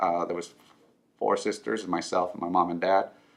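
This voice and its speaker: A man with a Spanish accent against a quiet background. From Southern California (born in Mexico). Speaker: financial advisor. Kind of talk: personal story interview. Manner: halting with many fillers.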